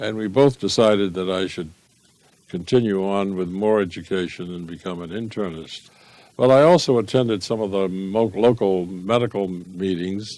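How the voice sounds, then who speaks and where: A man with an American accent speaks at a fairly low pitch in a dark, mellow tone, his loudness swinging widely on a very clean recording with a silent background. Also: ordinary pitch variation, moderate pace. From Boston, US. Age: 90s. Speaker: physician, gastroenterologist. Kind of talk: interview. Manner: halting, many fillers and repeats.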